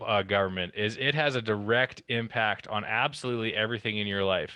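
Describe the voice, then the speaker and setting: Speaking at a fairly quick pace, a man with a western Canadian accent has a medium pitch and ordinary pitch variation. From Alberta, Canada. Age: 30s. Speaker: town councillor. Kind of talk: presentation.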